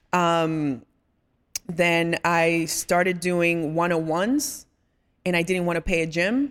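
A woman with a Dominican accent and a fairly low pitch speaks at a very slow pace, with ordinary pitch variation. Her speech has long, frequent pauses. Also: very even loudness. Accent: Dominican, noticeable when she speaks. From Dominican Republic. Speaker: fitness trainer and content creator. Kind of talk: casual interview.

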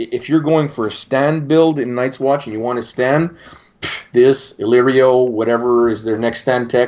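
A man with a French Canadian accent speaks at a moderate pace and medium pitch, his intonation fairly even. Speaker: podcast host. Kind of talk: casual chat.

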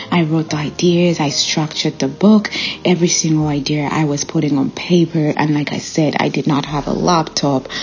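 A woman speaks with a non-native accent in a very deep, low pitch and fairly even intonation. Noticeable background noise is present. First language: not English. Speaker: podcast host and nurse. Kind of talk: solo motivational monologue.

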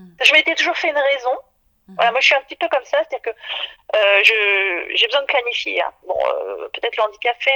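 A woman speaks at a fairly quick pace in a dry, close sound with no echo. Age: 50s. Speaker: visually impaired mother. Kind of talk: interview testimony. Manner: halting.

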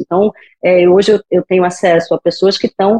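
A woman speaks in a dry, close sound with no echo. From Brazil, Rio de Janeiro. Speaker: physician in global health. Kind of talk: podcast interview.

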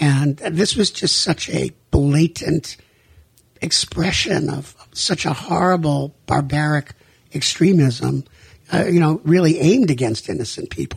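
A man with an American accent speaks fairly slowly in a fairly high, somewhat breathy voice with ordinary pitch variation. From US Northeast. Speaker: rabbi and nonprofit director. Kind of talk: radio interview. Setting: radio studio.

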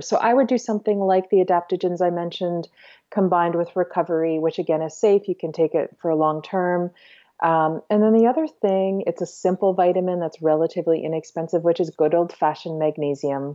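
With a normal speaking voice, a woman talks at a fairly quick pace, her fairly low pitch showing ordinary pitch variation. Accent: Canadian. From Ontario, Canada. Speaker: homeopath and herbalist. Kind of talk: interview.

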